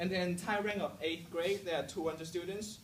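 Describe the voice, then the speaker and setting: In a Hong Kong accent, a man speaks in a high voice with lively intonation. Audible room echo and noticeable background noise fill the recording. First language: Cantonese. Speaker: student speaker. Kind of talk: motivational talk to students. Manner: halting, repeats words; casual, humorous.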